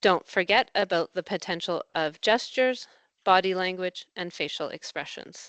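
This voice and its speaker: A woman speaks at a moderate pace in a fairly low voice, a plain, everyday voice. The sound is dry and close, with a quiet background. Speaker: language education consultant. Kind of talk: professional development presentation. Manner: clearly articulated.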